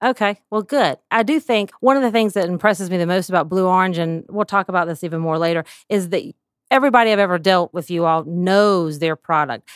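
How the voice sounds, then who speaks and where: A woman with a Southern US accent talks at a fairly quick pace and medium pitch, her tone animated and her intonation lively, in a very clean recording with a silent background and a dry, close sound with no echo. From US South. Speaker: podcast host and pediatric therapist. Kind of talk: casual interview. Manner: animated, laughs often.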